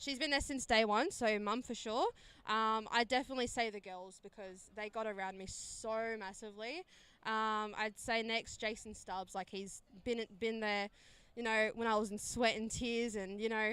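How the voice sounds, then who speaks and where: Bright and sharp in tone, a woman's voice carries fairly even intonation. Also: fairly high pitch for a woman, moderate pace. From South Australia. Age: 20s. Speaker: blind cricketer. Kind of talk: post-match interview.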